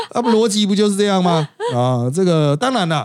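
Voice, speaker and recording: A man with a Taiwanese accent, high in pitch, at a moderate pace. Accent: Taiwanese Mandarin. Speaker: podcast host and political commentator. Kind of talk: casual chat.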